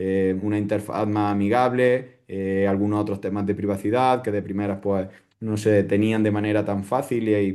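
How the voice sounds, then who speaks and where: Over a quiet background, a man with an Andalusian accent speaks at a moderate pace in a fairly low pitch, his intonation flat and monotone. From Andalusia, Spain. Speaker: crypto security educator. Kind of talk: interview answer.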